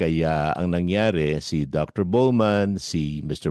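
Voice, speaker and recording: A man's very deep, low voice at a very slow pace, with lively intonation. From Philippines. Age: 60s. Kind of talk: casual chat. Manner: animated.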